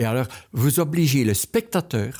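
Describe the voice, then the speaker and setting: A man talks at a very slow pace with a dark, mellow tone and very wide pitch swings, recorded very cleanly with a silent background and a dry, close sound with no echo. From Belgian Ardennes. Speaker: painter. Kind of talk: interview. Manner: halting.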